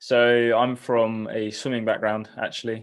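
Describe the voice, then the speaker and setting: A man with a southern English accent, fairly slow pace, quiet background. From southern England, Eastbourne. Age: 20s. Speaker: triathlete. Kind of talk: interview.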